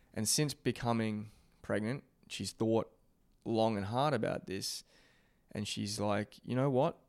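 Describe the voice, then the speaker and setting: Pausing long and often, a man with an Australian accent speaks at a fairly slow pace and medium pitch with ordinary pitch variation. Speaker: podcast host. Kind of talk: casual interview.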